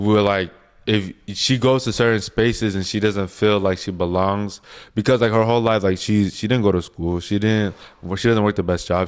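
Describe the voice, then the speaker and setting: A man's fairly low voice with an American accent, fairly even intonation, and a moderate pace. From Utah, Salt Lake City area. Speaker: guest. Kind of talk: casual chat.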